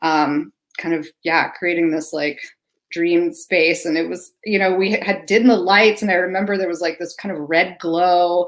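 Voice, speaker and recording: A woman speaks at a moderate pace in a fairly low pitch with fairly even intonation, on a very clean recording with a silent background. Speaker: songwriter. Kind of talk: casual chat.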